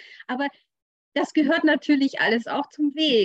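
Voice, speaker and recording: The sound is dry and close, with no echo. A woman talks at a moderate pace with lively intonation. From rural Germany. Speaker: business coach. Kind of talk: interview.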